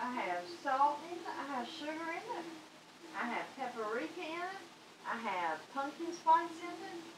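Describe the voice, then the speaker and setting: Noticeable background noise runs under the speech. A woman talks at a moderate pace. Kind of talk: casual vlog chat. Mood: light, laughing. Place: kitchen. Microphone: camera far.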